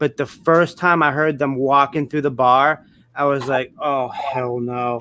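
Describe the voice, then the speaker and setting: With an American accent, a man speaks at a fairly slow pace in a fairly high pitch, his bright, sharp tone set to a monotone, flat intonation. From Massachusetts, north of Boston. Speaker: reseller podcast co-host. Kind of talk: casual chat.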